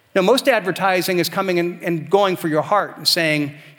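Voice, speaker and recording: A high-pitched man speaks at a fairly quick pace in a warm tone, with ordinary pitch variation and noticeable background noise. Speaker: pastor. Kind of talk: sermon. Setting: church. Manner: earnest, warm, fairly fluent preaching with some repeated starts.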